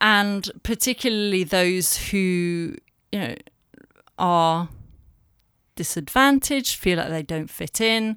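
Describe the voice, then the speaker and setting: A woman with a northern English accent speaks very slowly at a medium pitch, with lively intonation and long, frequent pauses. The recording is very clean, with a silent background. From northern England. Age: 40s. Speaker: communications director. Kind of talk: personal interview, testimony.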